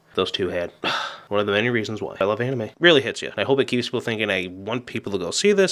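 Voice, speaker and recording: The speech moves at a very fast pace. Pitch swings very widely throughout. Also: man. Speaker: anime reviewer. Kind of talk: video review. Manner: casual, filler words.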